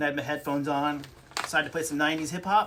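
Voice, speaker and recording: Speaking at a very fast pace, a man uses a fairly high pitch. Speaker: podcast co-host. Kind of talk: casual chat.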